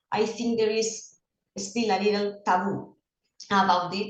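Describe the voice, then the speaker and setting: Her voice sits at a medium pitch as the woman speaks. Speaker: school psychologist and swimming coach. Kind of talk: presentation. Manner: halting, with frequent fillers.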